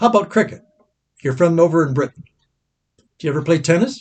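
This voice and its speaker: Lively intonation marks this man's high-pitched voice. He keeps to a moderate pace. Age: 80s+. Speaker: pastor. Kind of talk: Bible class teaching.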